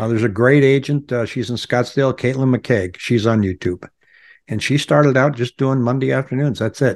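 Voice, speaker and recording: Speaking at a fairly quick pace, a man has an unremarkable speaking voice, medium pitch and ordinary pitch variation against a quiet background. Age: 60s. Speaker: real estate agent and YouTuber. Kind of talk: casual interview.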